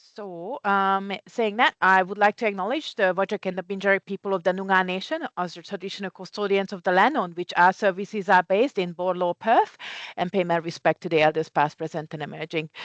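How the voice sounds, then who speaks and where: A fairly quick, nearly pause-free delivery in a Hungarian accent, with ordinary pitch variation, a dry, close sound with no echo and a quiet background. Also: woman, medium pitch for a woman. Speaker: community care CEO. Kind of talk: conference presentation.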